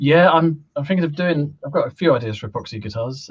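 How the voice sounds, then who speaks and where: Somewhat breathy male voice with ordinary pitch variation, a fairly quick pace and a quiet background. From UK. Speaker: guitar maker; guest. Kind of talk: casual chat. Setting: video call. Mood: relaxed, friendly. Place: home room. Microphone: video call.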